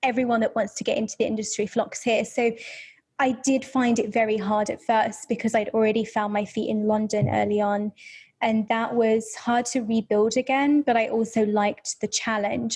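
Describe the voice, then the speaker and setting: A woman speaks at a moderate pace in a fairly high, somewhat breathy voice with fairly even intonation over a quiet background. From English Midlands, near Birmingham. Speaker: photographer. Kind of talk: interview conversation.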